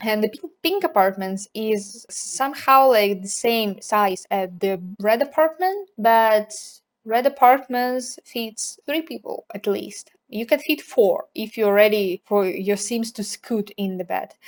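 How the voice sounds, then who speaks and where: A woman with a non-native accent, fairly high in pitch, speaking very slowly with ordinary pitch variation. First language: not English. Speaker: video game builder YouTuber. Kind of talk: casual gameplay commentary.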